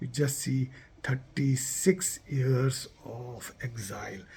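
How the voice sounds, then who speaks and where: Somewhat breathy, a man with a Kashmiri accent speaks at a medium pitch. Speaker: community vlogger. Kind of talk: festival address to viewers. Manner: emotional, repetitive.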